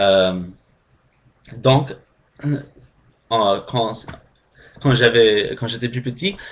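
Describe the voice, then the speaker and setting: A man with an English accent speaks at a very slow pace, leaving long, frequent pauses. His pitch is medium and varies in an ordinary way. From United States. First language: English (speaking French). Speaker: language learner vlogger. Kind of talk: casual explainer vlog. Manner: halting, many hesitations.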